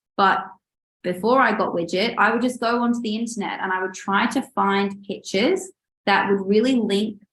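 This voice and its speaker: Speaking with an Australian accent, a woman holds a medium pitch and fairly even intonation. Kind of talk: webinar presentation. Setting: online webinar.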